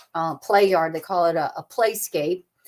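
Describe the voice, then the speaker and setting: A woman's medium pitch at a moderate pace, with ordinary pitch variation, in a very clean recording with a silent background. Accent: Southern US. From US South (the Carolinas). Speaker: travel agent. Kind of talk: casual livestream chat. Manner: animated.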